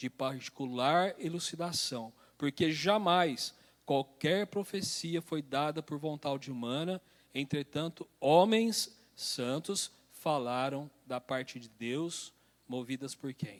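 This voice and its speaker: A man's fairly high voice at a very slow pace, with ordinary pitch variation and big swings in loudness, on a very clean, dry, close recording with a silent background and no echo. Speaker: church elder teaching Bible study. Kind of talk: Bible study lecture.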